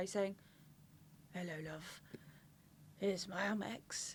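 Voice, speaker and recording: Fairly quick speech from a woman with an English accent. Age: 20s. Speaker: podcast co-host. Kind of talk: casual chat.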